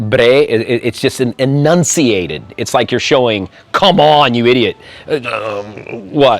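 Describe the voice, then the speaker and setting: Against music in the background, a man with an American accent speaks fairly slowly in an animated tone with lively intonation. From US Midwest. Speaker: YouTuber and expat. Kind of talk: interview.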